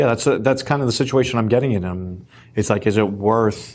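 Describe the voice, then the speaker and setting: A man with a normal speaking voice talks at a fairly low pitch and a fairly quick pace. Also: very clean recording, silent background. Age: 20s. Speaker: loan officer. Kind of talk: casual interview.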